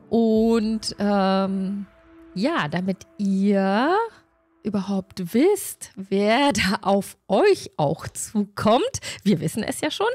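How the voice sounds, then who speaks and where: Faint music plays in the background as a woman speaks at a very slow pace with ordinary pitch variation. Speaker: stream host of a tabletop role-play group. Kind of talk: casual stream introduction. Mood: cheerful, friendly. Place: home room. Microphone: studio mic.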